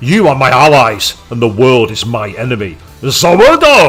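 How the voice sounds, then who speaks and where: A man does a put-on character voice at a medium pitch and moderate pace. Faint music plays in the background. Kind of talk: bad impression. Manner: over-the-top dramatic anime villain delivery.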